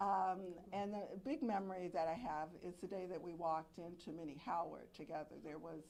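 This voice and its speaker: A woman with an American accent speaks at a fairly low pitch with vocal fry and fairly even intonation. Her fairly slow delivery comes with audible room echo. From Alexandria, Virginia. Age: 70s. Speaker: murder victim's sister. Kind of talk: press conference remarks.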